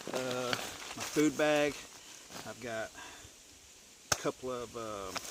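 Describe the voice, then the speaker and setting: Noticeable background noise sits behind a man speaking at a very slow pace with long, frequent pauses. His medium pitch shows ordinary variation. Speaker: bushcraft gear reviewer. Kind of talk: gear review video. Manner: stuttering; casual, halting with fillers.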